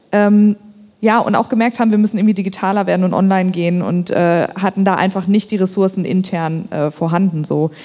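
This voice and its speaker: A woman's medium-pitched voice with fairly even intonation, a plain, everyday voice. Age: 30s. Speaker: marketing agency founder. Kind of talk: panel discussion. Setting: stage with audience.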